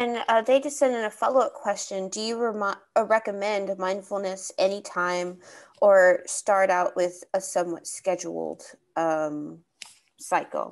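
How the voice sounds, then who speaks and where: A woman speaks at a fairly slow pace with ordinary pitch variation against a quiet background. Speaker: webinar moderator. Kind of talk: webinar moderating, giving instructions. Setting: video call webinar. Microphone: video call.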